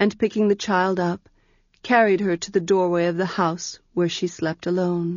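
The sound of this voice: An unforced reading voice, fairly even in its intonation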